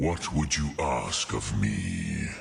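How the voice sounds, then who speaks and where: A put-on character voice growls along at a very slow pace. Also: man. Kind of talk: ancient sage speech. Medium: machinima. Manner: slow, deliberate, sprinkled with dragon words.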